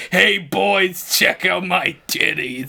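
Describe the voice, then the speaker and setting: A raspy, put-on character voice in a New York accent swings very widely in pitch. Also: man, fairly high pitch for a man. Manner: brash, comedic.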